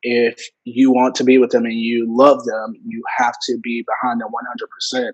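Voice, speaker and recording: With a Memphis accent, a man speaks at a moderate pace and medium pitch, his intonation monotone and flat. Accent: Southern US (Memphis). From US South, Memphis Tennessee area. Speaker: student and content creator. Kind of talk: casual interview. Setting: video call.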